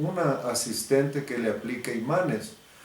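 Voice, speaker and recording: Over audible room echo, a man talks at a very slow pace with lively intonation and fairly high pitch. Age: 80s+. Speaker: biomagnetism therapist. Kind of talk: religious advisory talk to fellow believers.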